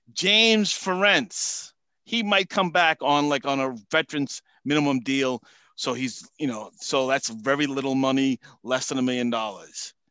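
Speaking in a Boston accent, a man uses lively intonation at a fairly high pitch and a moderate pace. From Massachusetts, US. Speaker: football salary cap analyst guest. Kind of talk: casual interview chat.

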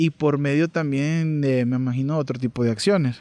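Recorded dry and close with no echo against a quiet background, a man with a fairly high pitch and a dark, mellow tone speaks at a fairly slow pace with ordinary pitch variation. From El Salvador. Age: 30s. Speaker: podcast co-host. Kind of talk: casual history discussion.

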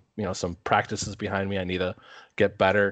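Very fast, monotone speech with flat intonation in an Upper Midwest accent, over a quiet background. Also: man. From Minnesota. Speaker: podcast co-host. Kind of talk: casual chat.

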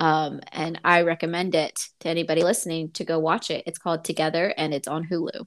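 In a very clean recording with a silent background, a woman with an ordinary speaking voice talks at a moderate pace and a fairly low pitch. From United States, Mexican American. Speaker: podcast co-host. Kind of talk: casual chat.

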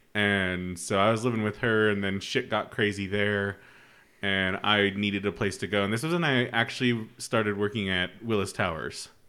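Speech comes at a moderate pace with an American accent and ordinary pitch variation. It is a normal speaking voice. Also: man, fairly low pitch for a man. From Utah. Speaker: podcast host. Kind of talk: casual chat.

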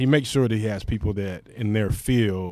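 In a very clean recording with a silent background, an unremarkable speaking voice moves at a moderate pace with ordinary pitch variation. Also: man. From Fort Wayne, Indiana (US Midwest). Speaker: podcast co-host. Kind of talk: casual chat.

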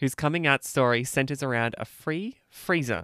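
Over a silent background on a very clean recording, a woman talks at a moderate pace. Her pitch varies in an ordinary way. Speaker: podcast host. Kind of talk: interview.

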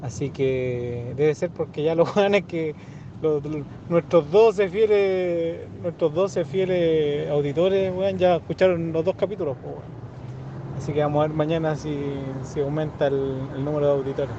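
Over noticeable background noise, a man with a Chilean accent speaks at a moderate pace, his pitch fairly high with ordinary variation. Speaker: podcast host. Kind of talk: casual chat.

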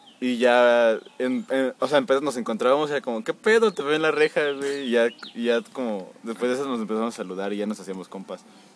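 Talking at a very fast pace, a man uses lively intonation in a medium pitch. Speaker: podcast co-host. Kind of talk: casual chat.

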